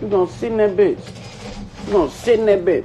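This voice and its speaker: Faint music sits in the background. A man is talking. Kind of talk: casual livestream rant. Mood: earnest, frustrated. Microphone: phone near.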